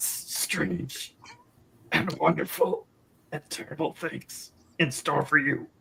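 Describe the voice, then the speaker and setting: A man's put-on character voice, raspy and strained, fairly high in pitch, very slow, with long, frequent pauses. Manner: mystical, prophetic.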